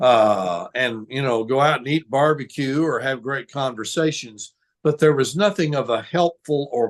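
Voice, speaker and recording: With hardly any pauses, a man speaks in an ordinary speaking voice at a medium pitch and a moderate pace, his pitch varying in an ordinary way. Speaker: former wrestling ring announcer and Methodist pastor. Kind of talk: interview answer.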